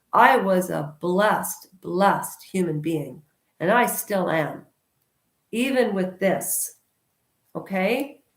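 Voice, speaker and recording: A woman speaks loudly and very slowly at a medium pitch, her intonation lively. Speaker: YouTube commentator. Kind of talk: casual monologue vlog. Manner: animated.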